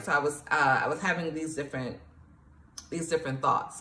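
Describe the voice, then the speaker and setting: An animated tone with an American accent at a very fast pace, with audible room echo and noticeable background noise. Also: woman. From New York, Nigerian family. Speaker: poet and author, motivational coach. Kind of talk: motivational tutorial. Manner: casual, animated.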